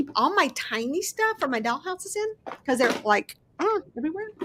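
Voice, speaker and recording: A loud woman speaks at an extremely high pitch, her voice swinging very widely in pitch. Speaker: crafting YouTuber. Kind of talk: casual chat. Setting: live stream. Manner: fast.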